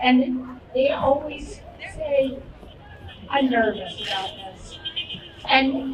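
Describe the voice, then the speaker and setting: Room echo can be heard. Background noise is noticeable too. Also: woman. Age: 80s+. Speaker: election worker. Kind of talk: rally speech.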